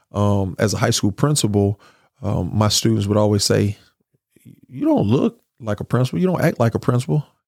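A fairly low-pitched man with a Mississippi accent, fairly quick pace and ordinary pitch variation, in a dry, close sound with no echo. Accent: Mississippi Southern. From US South. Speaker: school board candidate and educator. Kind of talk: interview.

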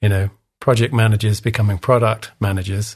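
With an English accent, a man speaks in a fairly low, somewhat breathy voice with fairly even intonation. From England. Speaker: design leadership coach. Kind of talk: interview.

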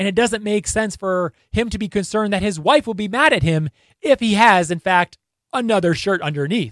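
A man with an American accent speaks at a high pitch and a moderate pace, with ordinary pitch variation. The sound is dry and close, with no echo. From northern New Jersey. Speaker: sports video creator. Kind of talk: casual commentary video.

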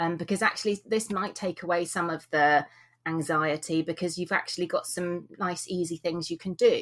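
A woman with a British accent speaks at a moderate pace. Her fairly low voice is monotone and flat. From UK. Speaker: author and blogger, former vet. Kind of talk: interview.

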